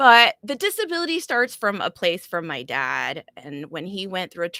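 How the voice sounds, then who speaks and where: With a Spanish accent and a bright, sharp tone, a woman speaks at a moderate pace with lively intonation, the sound dry and close with no echo. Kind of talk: live panel discussion. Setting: live online stream.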